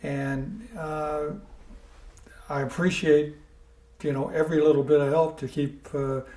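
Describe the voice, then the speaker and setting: Speaking at a moderate pace, a man has a fairly high pitch, a dark, mellow tone, a somewhat breathy quality and fairly even intonation. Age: 70s. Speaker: older adult interviewee with memory issues. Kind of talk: recorded interview. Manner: halting, many fillers.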